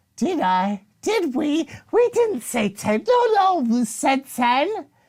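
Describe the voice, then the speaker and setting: Using a put-on character voice, a female-sounding speaker holds a high pitch with very wide pitch swings at a fairly slow pace. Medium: actual play. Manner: scattered, eager, speaks as "we".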